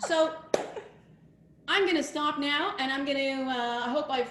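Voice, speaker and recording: A woman speaks at a high pitch with ordinary pitch variation, with audible room echo. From Quebec, Montreal. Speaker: rabbi. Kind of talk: casual presentation.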